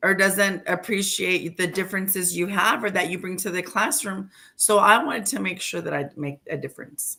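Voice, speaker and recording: Speaking with an American accent and a bright, sharp tone, a woman barely pauses on a very clean recording with a silent background. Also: medium pitch for a woman, ordinary pitch variation, moderate pace. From West Texas. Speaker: teacher. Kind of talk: interview.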